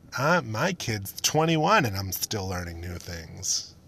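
In a put-on character voice, a man speaks at a very slow pace and fairly low pitch against a quiet background.

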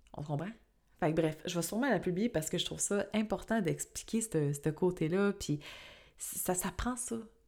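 A woman with a Quebec accent speaks at a moderate pace, her medium pitch rising and falling in an ordinary way. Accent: Québécois French. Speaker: astrologer and podcast host. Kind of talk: casual solo podcast talk; scripted intro narration.

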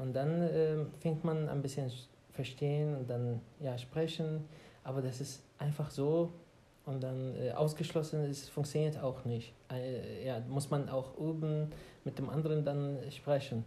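Speaking very slowly in an Arabic accent, a man uses a fairly high pitch with a dark, mellow, somewhat breathy tone and flat, monotone intonation. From Iraq, Baghdad. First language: Arabic (speaking German). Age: 30s. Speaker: podcast co-host. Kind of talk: casual chat. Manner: halting.

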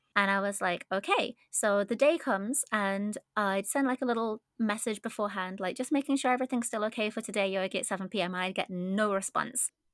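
With an unremarkable speaking voice, a woman speaks at a fairly high pitch with ordinary pitch variation, the sound dry and close with no echo. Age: 20s. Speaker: former idol. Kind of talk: interview.

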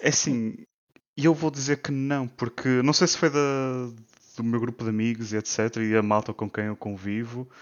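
At a moderate pace, a man with an ordinary speaking voice and a medium pitch talks with ordinary pitch variation. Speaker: co-host. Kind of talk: casual interview chat.

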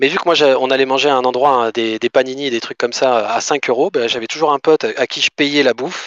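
A man speaks very fast with hardly any pauses, at a medium pitch and with fairly even intonation. The sound is dry and close, with no echo. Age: 30s. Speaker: manga collector. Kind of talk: casual chat.

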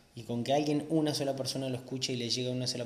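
A man with an Argentine accent speaks very fast at a medium pitch, his intonation monotone and flat. Audible room echo and noticeable background noise are present. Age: 30s. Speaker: podcast host, motorcycle instructor. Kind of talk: casual monologue.

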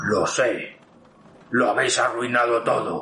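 A man uses a put-on character voice. He speaks at a fairly slow pace.

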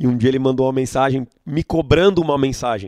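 The sound is dry and close with no echo as a man speaks at a medium pitch in a dark, mellow tone. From Brazil, Itu (São Paulo state). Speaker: event promoter. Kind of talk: interview.

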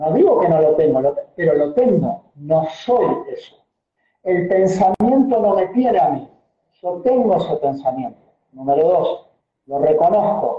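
This man speaks at a fairly slow pace. His pitch is high and his intonation lively. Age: 40s. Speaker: motivation coach. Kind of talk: casual conversation.

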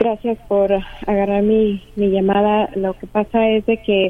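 This woman's voice sits at a medium pitch. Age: 50s. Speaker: caller. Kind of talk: phone-in question to a radio counselor.

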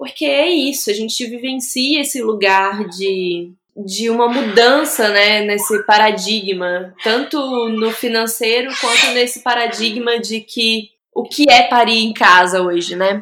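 A woman's plain, everyday voice, fairly high in pitch, with ordinary pitch variation at a fairly slow pace. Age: 30s. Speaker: obstetric nurse and new mother. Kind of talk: interview testimony about her birth.

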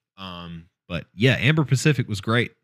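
On a very clean recording with a silent background, a man speaks in a normal speaking voice at a fairly slow pace with ordinary pitch variation. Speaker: podcast host. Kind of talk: casual chat.

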